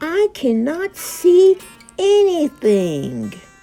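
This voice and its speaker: Over faint background music, a woman puts on a squeaky character voice. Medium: read story. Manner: sleepy, reluctant.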